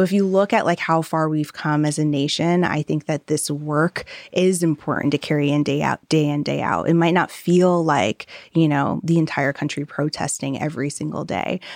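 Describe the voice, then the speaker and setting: A woman with an American accent and a very deep, low pitch, at a moderate pace with fairly even intonation and a dry, close sound with no echo. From US Northeast, southeastern Connecticut. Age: 30s. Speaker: social entrepreneur. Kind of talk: live interview.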